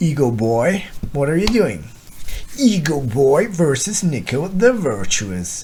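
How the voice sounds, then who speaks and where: A man at a very slow pace, very wide pitch swings, audible room echo, and noticeable background noise. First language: not English. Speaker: gaming content creator. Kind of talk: gameplay commentary. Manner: thinking aloud, hesitant.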